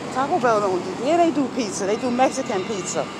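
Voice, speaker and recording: A woman amid noticeable background noise, dry sound with no echo. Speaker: vlogger. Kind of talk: casual vlog chat. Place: street. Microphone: phone near.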